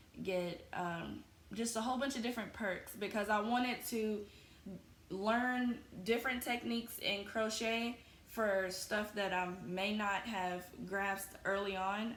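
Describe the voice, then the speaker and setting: Against noticeable background noise and audible room echo, a woman talks at a fairly slow pace in a fairly high pitch, with very even loudness and fairly even intonation. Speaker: crochet podcaster. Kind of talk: casual chat.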